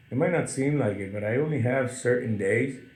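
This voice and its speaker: A somewhat breathy male voice at a fairly quick pace, with audible room echo. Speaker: talk show host. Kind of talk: casual chat.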